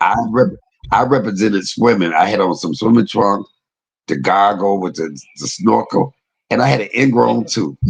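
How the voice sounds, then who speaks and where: A man with an American accent, fairly low in pitch, moderate in pace, with vocal fry, lively intonation and an animated tone. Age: 50s. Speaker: online commentator. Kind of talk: casual chat.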